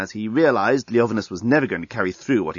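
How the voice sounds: Lively intonation marks the speaker's natural reading voice.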